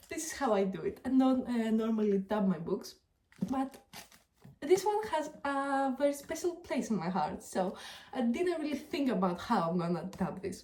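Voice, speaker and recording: A woman speaks at a moderate pace in a high pitch. Her tone is dark and mellow, with very wide pitch swings. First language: not English. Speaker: book reviewer. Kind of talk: casual vlog talk to camera. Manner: hesitant, many filler ums.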